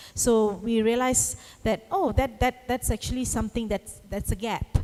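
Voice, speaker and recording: At a moderate pace, a woman talks in a dark, mellow tone. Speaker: anti-trafficking network leader. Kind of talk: conference panel discussion. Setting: conference hall with audience.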